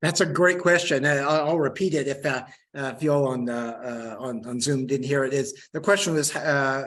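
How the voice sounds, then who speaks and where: A man with a medium pitch talks with ordinary pitch variation, and audible room echo fills the space. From Western Oklahoma, US. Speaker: historian and geography professor. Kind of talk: lecture with audience Q&A. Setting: lecture room with live audience, also streamed on video call. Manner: halting, many fillers and repeated words.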